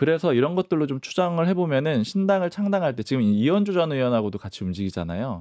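In a quiet, dry setting with no echo, a man talks very fast with hardly any pauses and very wide pitch swings. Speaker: political journalist. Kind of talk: panel discussion. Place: studio. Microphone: studio mic.

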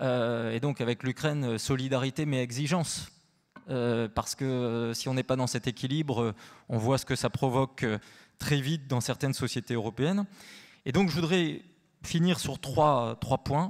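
Against a quiet background, a man talks at a fairly slow pace in a medium pitch with ordinary pitch variation. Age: 40s. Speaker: researcher; panelist. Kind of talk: panel discussion. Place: hall. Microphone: handheld.

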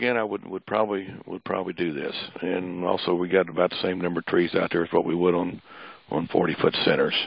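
A man talks very fast with a Midwestern US accent. His pitch is very deep and low. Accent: rural Midwestern US. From northern Missouri. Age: 60s. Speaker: pecan farmer. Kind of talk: webinar lecture.

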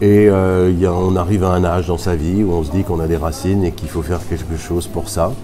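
A man with a very deep, low voice speaks in a flat monotone at a fairly quick pace. Noticeable background noise is present. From Alsace, France (Mulhouse); Alsace, France. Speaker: tournament director, former tennis player. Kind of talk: interview. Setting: at a tennis tournament. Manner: hesitant with fillers. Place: hall. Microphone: phone near.

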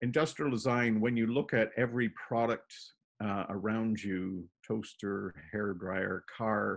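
This man has a Canadian accent and a fairly low pitch. He talks at a fairly slow pace over a quiet background. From Toronto, Canada (born in Plymouth, England); Toronto. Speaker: painter; interviewee. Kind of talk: casual interview. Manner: halting, many fillers. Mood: relaxed, reminiscing. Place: home room. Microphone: video call.

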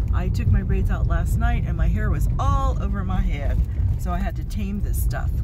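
Against loud background noise, a woman speaks at a moderate pace in a dry recording with no echo. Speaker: beauty vlogger. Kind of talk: casual talk to camera. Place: car. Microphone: phone near.

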